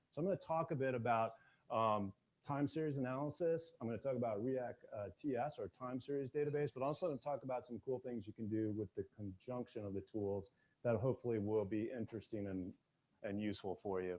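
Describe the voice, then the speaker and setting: The speaker talks at a fairly quick pace. Pitch variation is ordinary. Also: man, medium pitch for a man. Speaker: tech conference speaker. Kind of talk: technical talk to a live audience. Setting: stage with audience. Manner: quiet.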